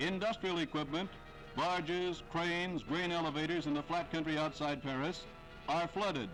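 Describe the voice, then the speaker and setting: Music plays in the background as a man speaks at a moderate pace and a high pitch. His pitch varies an ordinary amount and his loudness stays very even. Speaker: newsreel narrator. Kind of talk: wartime newsreel narration.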